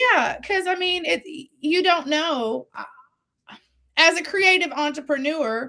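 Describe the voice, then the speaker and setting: With a raised, projected voice, a woman speaks at an extremely high pitch in a bright, sharp tone, with lively intonation, a very slow pace and long, frequent pauses. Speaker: singer-songwriter. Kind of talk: interview conversation. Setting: live video stream.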